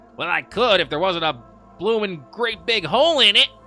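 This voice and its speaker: A man's put-on character voice, high in pitch, at a moderate pace over faint background music. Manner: goblin voice.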